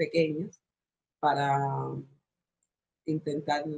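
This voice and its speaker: Here a woman speaks with a very deep, low pitch. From Cuba. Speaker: spoken word artist and activist. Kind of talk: interview answer.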